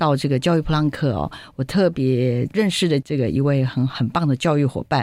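Moderate pace with a Taiwanese accent. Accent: Taiwanese Mandarin. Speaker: radio host. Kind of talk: radio interview. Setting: studio. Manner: animated.

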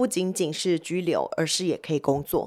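Her delivery comes at a moderate pace and medium pitch, a woman using a normal speaking voice. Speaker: marketing executive. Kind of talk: interview.

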